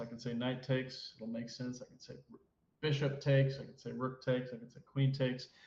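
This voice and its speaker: In a room with audible echo, a man speaks at a medium pitch with monotone, flat intonation. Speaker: chess commentator. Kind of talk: live commentary. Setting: live stream. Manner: loud.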